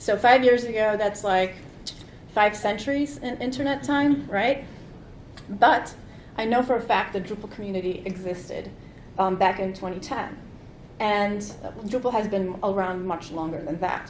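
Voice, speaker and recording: At a moderate pace with long, frequent pauses, a woman speaks at a medium pitch with ordinary pitch variation, and audible room echo surrounds her. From Poland. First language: Polish. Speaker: conference keynote speaker. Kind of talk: conference keynote talk. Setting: stage with audience.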